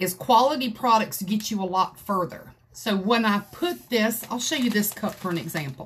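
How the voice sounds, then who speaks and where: A woman speaks in a Southern US accent at a moderate pace. Her voice is somewhat breathy, with lively intonation. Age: 50s. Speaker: craft video creator. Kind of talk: livestream tutorial. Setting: craft room livestream. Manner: animated. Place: home room. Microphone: phone near.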